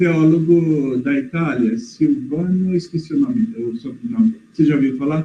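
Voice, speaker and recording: Speaking fairly slowly, a man with a high voice swings his pitch very widely. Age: 60s. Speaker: participant asking questions. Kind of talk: casual discussion in online live session. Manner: halting, hesitant.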